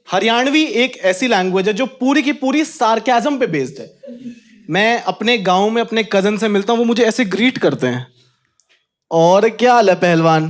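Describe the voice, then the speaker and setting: With lively intonation, a man talks in a high register. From Haryana, India. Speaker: stand-up comedian. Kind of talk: stand-up comedy set. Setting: live comedy venue with audience.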